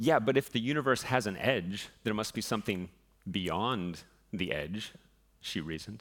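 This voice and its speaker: With an American accent, a man speaks in an ordinary speaking voice at a moderate pace, fairly low in pitch with lively intonation, on a very clean recording with a silent background. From US West, southern Utah. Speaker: physicist. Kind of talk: public lecture.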